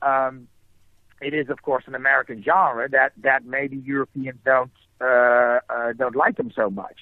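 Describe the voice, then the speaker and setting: Fairly even intonation marks this speech, delivered at a fairly slow pace. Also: man, medium pitch for a man. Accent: Dutch. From Netherlands. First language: Dutch. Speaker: film writer-director. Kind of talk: interview. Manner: halting, many fillers and repetitions.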